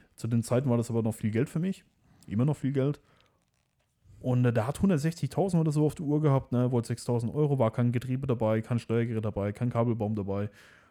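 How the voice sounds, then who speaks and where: A man talks at a fairly quick pace and medium pitch with ordinary pitch variation. His tone is dark and mellow, on a very clean recording with a silent background. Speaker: car tuning YouTuber. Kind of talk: casual interview chat.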